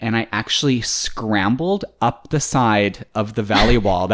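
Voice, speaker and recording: Here is a man with a normal speaking voice, medium pitch and ordinary pitch variation. He speaks fairly slowly, his loudness very even. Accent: Canadian. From Canada. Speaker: podcast host.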